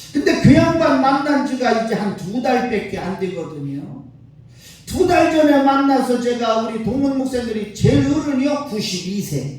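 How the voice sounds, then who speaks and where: Amid noticeable background noise and audible room echo, a man speaks fairly slowly in an extremely high pitch, his tone animated and his pitch swinging very widely. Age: 60s. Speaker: pastor. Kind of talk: sermon. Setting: church.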